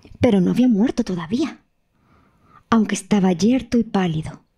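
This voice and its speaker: A woman with a dark, mellow tone and a dramatic, warm delivery speaks somewhat breathily with lively intonation over a very clean recording with a silent background. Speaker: storyteller narrator. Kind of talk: audiobook fairy-tale narration. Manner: slow, hushed and dramatic, building suspense as the emperor lies dying; storyteller's tone, warm and expressive, voicing the characters.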